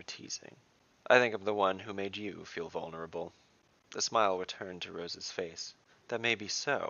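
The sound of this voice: The pitch varies in an ordinary way in this unforced reading voice.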